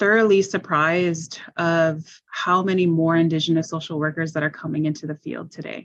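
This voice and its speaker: In a normal speaking voice, this woman uses ordinary pitch variation. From Ontario. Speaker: health and social services director. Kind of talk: panel presentation Q&A.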